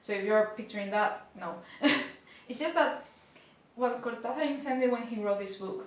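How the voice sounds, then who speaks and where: A woman with a Spanish accent talks at a moderate pace and a fairly high pitch, with lively intonation. Long, frequent pauses break up her speech, and noticeable background noise is present. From Spain. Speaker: book reviewer. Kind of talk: casual talk to camera.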